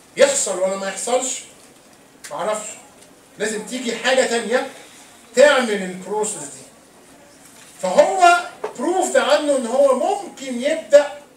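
Lively intonation comes through over light background noise and audible room echo. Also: man. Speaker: lecturer. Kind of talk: lecture. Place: hall.

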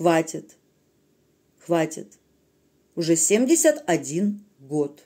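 Over a quiet background, a woman speaks at a very slow pace with long, frequent pauses. Her voice is fairly low and dark and mellow in tone, with ordinary pitch variation. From Russia. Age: 30s. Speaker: video blogger; vlogger. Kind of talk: political monologue to camera. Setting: recorded at night at home. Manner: animated. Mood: earnest, emotional political appeal. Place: home room. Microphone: phone near.

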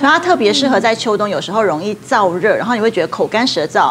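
A woman talks at a very fast pace with very wide pitch swings and fairly high pitch. Light background noise is present. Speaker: traditional Chinese medicine doctor. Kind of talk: TV talk show expert explanation. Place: studio. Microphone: lapel.

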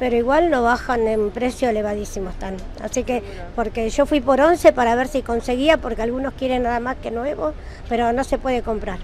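A woman with a Rioplatense accent and a high pitch talks at a fairly quick pace with ordinary pitch variation, in a dry sound with no echo and light background noise. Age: 60s. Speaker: retiree running a second-hand stall; interviewee. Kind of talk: street interview; interview answer. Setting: garage shop at home. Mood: matter-of-fact, somewhat weary. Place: street. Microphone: handheld.

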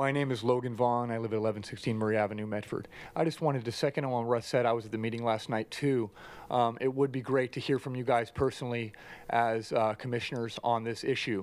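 In a dry sound with no echo, a man talks at a fairly quick pace with fairly even intonation. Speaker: county commissioner. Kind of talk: formal meeting. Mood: mildly frustrated, sarcastic. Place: hall. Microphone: podium.

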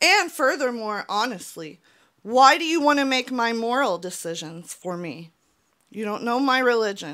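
A woman's bright, sharp voice at a moderate pace, with very wide pitch swings and big shifts in loudness over a quiet background. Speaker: YouTuber. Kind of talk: personal vlog monologue; opinion commentary vlog. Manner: earnest, emotional. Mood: earnest, frustrated. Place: home room. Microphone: handheld.

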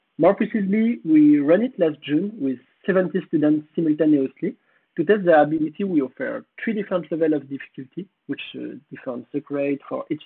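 A man with a French accent speaks at a fairly quick pace, his fairly high pitch carrying lively intonation. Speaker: conference speaker. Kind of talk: conference talk. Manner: halting.

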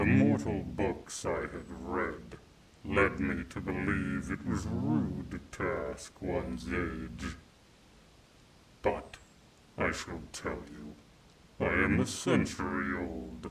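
In a put-on character voice, a man speaks raspy and very deep at a very slow pace, with long, frequent pauses. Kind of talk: ASMR roleplay. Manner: possessive, menacing yet tender, regal.

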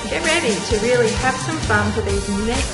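With loud music in the background, a woman talks at a moderate pace. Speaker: fitness instructor. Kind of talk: workout instruction.

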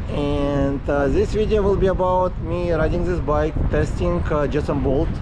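A man's fairly slow speech, dry with no echo, against noticeable background noise. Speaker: e-bike vlogger. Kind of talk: casual vlog chat. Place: beach. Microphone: phone near.

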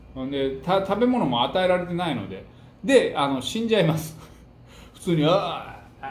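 At a moderate pace, a man's speech carries audible room echo. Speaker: book talk host. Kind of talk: storytelling commentary. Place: home room.

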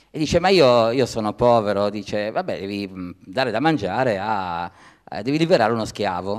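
A man's lively intonation stands out over a quiet background. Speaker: speaker. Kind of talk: panel debate. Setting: theatre stage with audience. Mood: amused, storytelling. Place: stage. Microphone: handheld.

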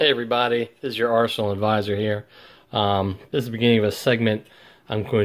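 Male speech over a quiet background. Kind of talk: casual tutorial commentary. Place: workshop.

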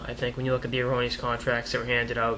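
Light background noise accompanies a man as he speaks. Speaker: hockey commentator vlogger. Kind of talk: commentary. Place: home room. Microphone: webcam.

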